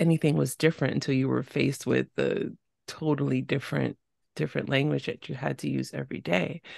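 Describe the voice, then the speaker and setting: Heard in a dry, close sound with no echo, the speaker has vocal fry and a New York accent. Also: woman. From New York City. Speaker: podcast host. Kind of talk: casual interview.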